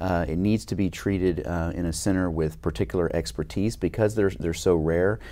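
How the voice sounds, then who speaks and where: A man talks at a fairly quick pace with lively intonation. His very deep, low voice has a dark, mellow tone. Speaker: head and neck surgeon. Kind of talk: interview. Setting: conference. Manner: frequent fillers and repetitions. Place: studio. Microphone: lapel.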